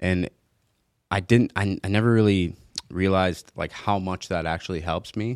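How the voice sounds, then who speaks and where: In an American accent, a man talks at a moderate pace with long, frequent pauses, his very deep, low pitch carried in fairly even intonation, on a very clean recording with a silent background and a dry, close sound with no echo. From Michigan, US. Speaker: professional MMA fighter. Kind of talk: casual chat. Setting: studio.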